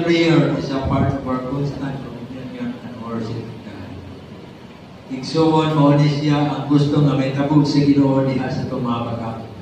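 A man speaks at a fairly slow pace with fairly even intonation, heard through strong room echo and noticeable background noise. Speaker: preacher. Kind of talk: sermon. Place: church. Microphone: camera far.

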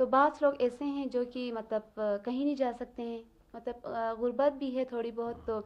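A woman's high-pitched voice, monotone and flat in intonation, at a moderate pace. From Baltistan, Skardu. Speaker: teacher and student. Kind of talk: interview. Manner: hesitant with fillers.

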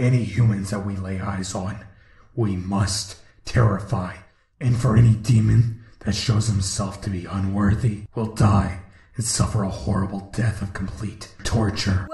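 With a slight echo, a man performs a put-on character voice at a fairly low pitch. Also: moderate pace. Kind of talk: dark fantasy villain narration. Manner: grandiose, ominous, theatrical.

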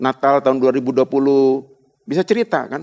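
A man's medium-pitched voice at a fairly quick pace, with a dry, close sound and no echo. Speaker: pastor. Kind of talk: sermon. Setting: church.

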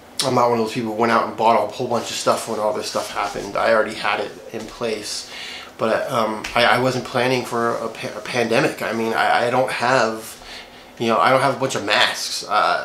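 A man speaks at a fairly quick pace with monotone, flat intonation. There is audible room echo along with light background noise. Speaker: gear vlogger. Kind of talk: casual vlog chat. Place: home room.

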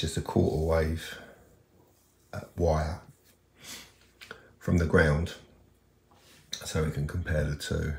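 With audible room echo, a man talks at an extremely low pitch, his slightly mellow tone edged with vocal fry.

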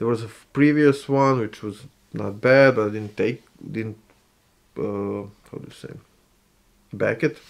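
A man with medium pitch speaks at a fairly slow pace, with long, frequent pauses. His loudness swings a lot while his pitch varies in an ordinary way. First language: not English. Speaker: gaming and miniature hobby YouTuber; miniature hobby YouTuber. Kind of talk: casual vlog monologue. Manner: halting, frequent filler sounds. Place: home room.

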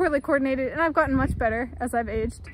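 Very fast, a woman's speech has a dry sound with no echo and light background noise. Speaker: vlogger. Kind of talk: casual vlog chat. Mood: amused, reflective. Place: open country. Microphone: phone near.

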